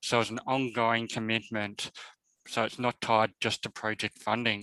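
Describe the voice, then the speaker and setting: Bright and sharp in tone, a man with an Australian accent speaks at a moderate pace and medium pitch in a flat monotone, recorded dry and close with no echo. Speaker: professor. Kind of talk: webinar presentation. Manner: halting, many fillers.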